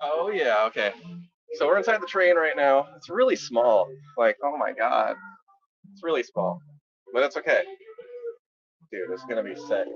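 With big swings in loudness and long, frequent pauses, a man speaks at a moderate pace amid noticeable background noise. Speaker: livestreamer. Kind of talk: casual vlog chat. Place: hall. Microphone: phone near.

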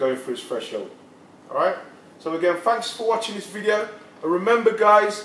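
A man's fairly even intonation, with audible room echo and light background noise. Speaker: personal trainer. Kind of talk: casual promotional talk to camera. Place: gym. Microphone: camera far.

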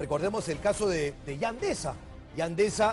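Clear music sounds in the background while a man speaks. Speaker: TV presenter. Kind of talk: news commentary. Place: studio. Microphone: lapel.

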